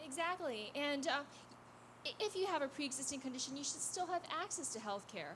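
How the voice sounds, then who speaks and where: Against noticeable background noise, a woman talks in a high pitch with lively intonation. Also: fairly quick pace. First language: not English. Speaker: congressional candidate. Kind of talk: campaign speech at a public forum.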